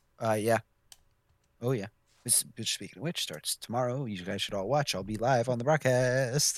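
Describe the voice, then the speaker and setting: The recording is very clean, with a silent background. A man at medium pitch talks with long, frequent pauses. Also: ordinary pitch variation. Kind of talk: casual group chat about sim football broadcasting. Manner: fast talker.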